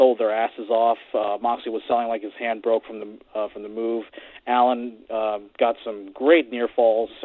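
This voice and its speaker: Pitched at a medium level, a man's voice moves at a moderate pace. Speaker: radio caller. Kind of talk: casual chat. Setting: phone call. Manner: halting.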